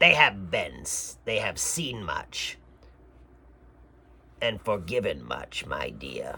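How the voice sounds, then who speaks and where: A man's raspy, put-on character voice, very slow, with long, frequent pauses. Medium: read story. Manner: soft, coaxing.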